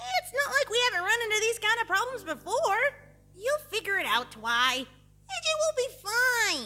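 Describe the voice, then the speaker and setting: A woman does a put-on character voice at an extremely high pitch, with very wide pitch swings and very even loudness. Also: moderate pace. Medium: read story. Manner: brash, confident.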